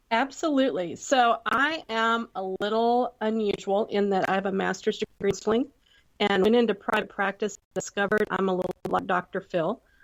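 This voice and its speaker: An American woman with a medium pitch talks at a moderate pace with ordinary pitch variation. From Texas. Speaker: entrepreneur, former counselor. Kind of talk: podcast interview.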